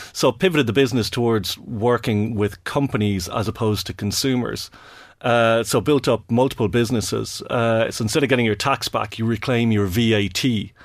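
With a Dublin accent, a man speaks at a fairly quick pace and medium pitch, with ordinary pitch variation, in a very clean recording with a silent background. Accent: Dublin Irish. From Ireland, Dublin. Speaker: fintech executive. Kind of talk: podcast interview.

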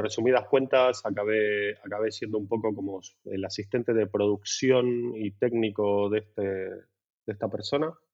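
Speaking at a moderate pace, a man uses a fairly low pitch with fairly even intonation. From Buenos Aires, Argentina. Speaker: lighting designer. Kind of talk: casual interview. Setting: at home. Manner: halting, many repetitions and fillers.

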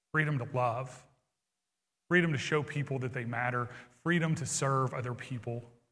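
Bright and sharp in tone, a man's medium-pitched voice keeps a moderate pace and fairly even intonation, with long, frequent pauses and audible room echo. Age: 40s. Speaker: pastor. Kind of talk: sermon. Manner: hesitant fillers.

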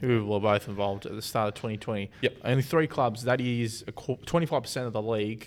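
The speaker, in an Australian accent, keeps a moderate pace with hardly any pauses. Pitch varies in an ordinary way. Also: man, medium pitch for a man. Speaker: football podcast host. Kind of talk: casual chat.

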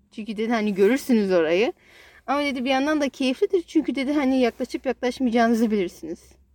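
A woman talks at a very fast pace with a high pitch and lively intonation. The sound is dry and close, with no echo. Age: 20s. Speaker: podcast co-host sharing her therapy experience. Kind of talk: casual chat.

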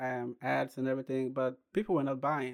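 A man speaks at medium pitch in a monotone, flat intonation. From Ghana. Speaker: clothing brand entrepreneur. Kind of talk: interview.

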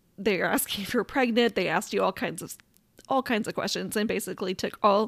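Vocal fry and ordinary pitch variation come through on a very clean recording with a silent background. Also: woman. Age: 40s. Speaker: podcast host. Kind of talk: casual personal storytelling monologue.

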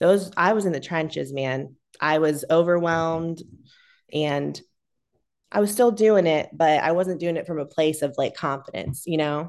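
Against a quiet background, an unremarkable speaking voice with an American accent moves at a moderate pace with ordinary pitch variation. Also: woman, fairly low pitch for a woman. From Ohio, US. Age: 30s. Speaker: salon owner. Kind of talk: casual interview.

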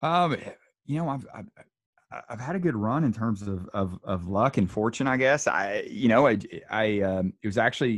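Moderate pace from a man with a Southern US accent. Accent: Southern American. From US South. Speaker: military nutrition researcher. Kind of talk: interview. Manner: halting, many repetitions.

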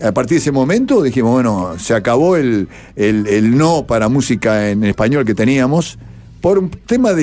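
With a Uruguayan accent, a man talks at a moderate pace and medium pitch, his voice making very wide pitch swings. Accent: Rioplatense Spanish (Uruguayan). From Uruguay, Montevideo. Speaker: radio broadcaster. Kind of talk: interview.

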